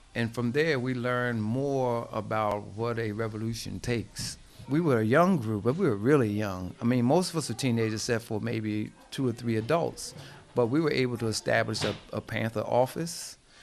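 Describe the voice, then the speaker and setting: With music in the background, a man speaks at a moderate pace and a medium pitch with ordinary pitch variation. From New Jersey, US (Plainfield). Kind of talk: interview. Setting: at his home.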